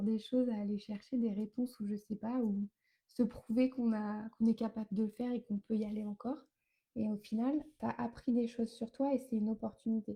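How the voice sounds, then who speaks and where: A dark, mellow tone at a fairly quick pace, with monotone, flat intonation. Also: woman. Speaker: wellness coach. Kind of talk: live stream talk. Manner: fast; hesitant fillers.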